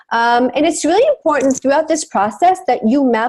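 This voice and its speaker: Her intonation lively, a woman speaks with a non-native accent. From abroad, then US from childhood. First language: not English. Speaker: marketing and messaging coach. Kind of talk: webinar presentation.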